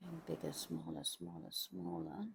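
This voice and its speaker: A woman talks at a moderate pace with vocal fry. Her pitch swings very widely. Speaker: art tutor. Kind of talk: tutorial.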